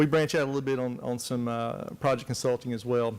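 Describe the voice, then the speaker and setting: Talking at a fairly quick pace, a man speaks with a Southern US accent. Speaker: forestry technology specialist. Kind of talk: conference presentation. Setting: conference room with audience. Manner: soft-spoken; hesitant, many fillers.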